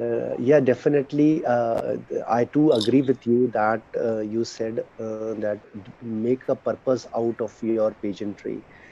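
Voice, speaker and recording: A man's medium-pitched, dark, mellow voice at a fairly slow pace, with fairly even intonation. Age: 50s. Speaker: actor and former dental lecturer. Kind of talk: webinar discussion.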